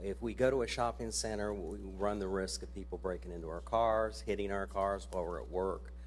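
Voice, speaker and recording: Here a man speaks with an American accent at a moderate pace, somewhat breathy. His pitch swings very widely, and audible room echo surrounds him. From central Ohio, US Midwest. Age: 60s. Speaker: resident speaking at public comment. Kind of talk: public comment at a council meeting. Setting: city council meeting.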